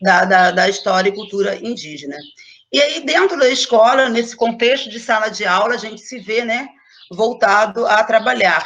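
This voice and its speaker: A woman's ordinary speaking voice, fairly high in pitch, at a moderate pace, with big swings in loudness. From Brazil, Angra dos Reis. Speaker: schoolteacher. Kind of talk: online talk / panel presentation.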